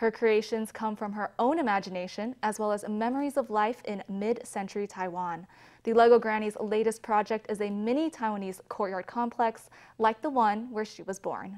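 An unremarkable speaking voice belongs to a woman with a fairly high pitch and fairly even intonation. She speaks at a moderate pace over a quiet background. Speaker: news anchor. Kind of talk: TV news anchor intro. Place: studio.

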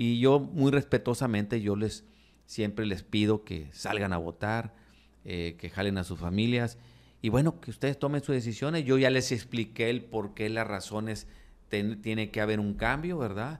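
This man talks at a moderate pace in a fairly low voice, with ordinary pitch variation. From Mexico, Nuevo Laredo (Tamaulipas); Tamaulipas, Mexico. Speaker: political candidate; candidate. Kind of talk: interview. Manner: halting, many repetitions. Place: studio. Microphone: studio mic.

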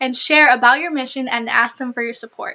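With an American accent, a woman speaks at a high pitch. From US Midwest, Michigan. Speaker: former mission trip intern and volunteer. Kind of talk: scripted informational talk. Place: home room. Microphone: webcam.

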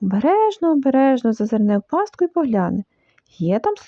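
A text is read aloud in a natural voice. Nothing much sounds behind it.

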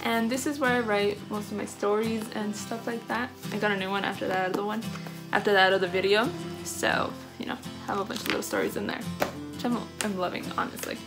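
A woman speaks at a fairly quick pace with ordinary pitch variation, clear music playing in the background. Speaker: vlogger. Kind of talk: casual vlog chat. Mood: cheerful, chatty. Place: home room. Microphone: phone near.

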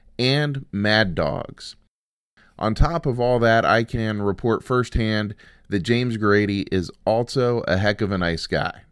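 A man speaks in a normal speaking voice, medium in pitch with ordinary variation. The recording is very clean with a silent background. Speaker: podcast host. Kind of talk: podcast intro and outro.

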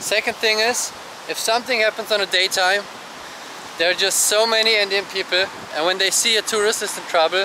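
A man with a German accent speaks in a raised, projected voice at a high pitch and a fairly quick pace, with fairly even intonation, long and frequent pauses, and noticeable background noise. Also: very even loudness, dry sound with no echo. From Germany. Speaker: travel vlogger. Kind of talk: casual vlog monologue. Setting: outdoors. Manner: conversational with frequent fillers. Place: beach. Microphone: phone near.

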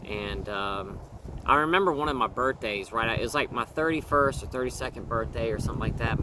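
A man talks at a moderate pace with a dry sound with no echo, over noticeable background noise. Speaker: vlogger sharing a personal story. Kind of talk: casual vlog chat. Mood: reflective, candid. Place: forest. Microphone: phone near.

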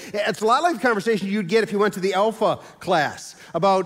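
The speaker is a man. He moves at a fairly quick pace against a quiet background. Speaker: pastor. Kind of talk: sermon. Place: church.

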